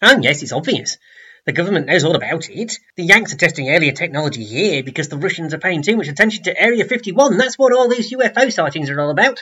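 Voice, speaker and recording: Using a put-on character voice, a man speaks at a very fast pace. His voice is high-pitched and whiny. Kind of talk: pompous, know-it-all. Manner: whining, self-important.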